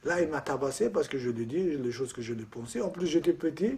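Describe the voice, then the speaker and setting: With very wide pitch swings, a man talks in a somewhat breathy voice with a dark, mellow tone. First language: Kurdish (speaking French). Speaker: Kurdish immigrant. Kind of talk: documentary interview.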